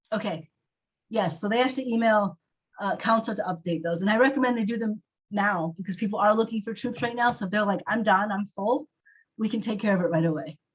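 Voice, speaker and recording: A fairly quick, somewhat breathy woman's voice, fairly high in pitch, with ordinary pitch variation. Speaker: council staff running volunteer meeting. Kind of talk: online meeting update. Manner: fast.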